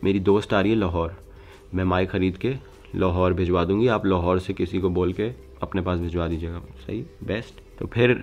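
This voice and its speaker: Fairly slow and fairly even in intonation, a man speaks with a very deep, low voice. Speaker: vlogger. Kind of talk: casual vlog chat. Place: home room.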